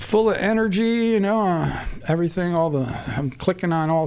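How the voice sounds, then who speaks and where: With an American accent, a man talks at a moderate pace with ordinary pitch variation over noticeable background noise. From upstate New York. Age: 60s. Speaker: cannabis breeder. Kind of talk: casual interview.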